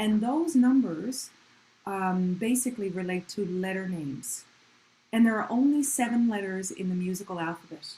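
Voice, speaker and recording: Her voice somewhat breathy and dark, mellow in tone, a woman speaks with lively intonation. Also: medium pitch for a woman, moderate pace. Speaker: music teacher. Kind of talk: online community music lesson.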